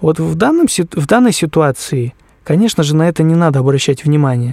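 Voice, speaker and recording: The sound is dry and close, with no echo. A man speaks at a fairly high pitch in a dark, mellow tone. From Krasnoyarsk Krai, Siberia, Russia. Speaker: musician and arranger. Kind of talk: interview.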